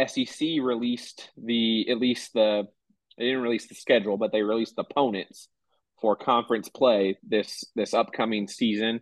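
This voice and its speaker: An ordinary speaking voice from a man at a moderate pace, medium in pitch, with fairly even intonation. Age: 30s. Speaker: sports podcast co-host. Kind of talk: casual chat.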